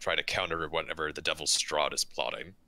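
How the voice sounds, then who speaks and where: A man speaks in a put-on character voice with a raspy edge. His pace is fairly quick. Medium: actual play. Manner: hesitant, halting.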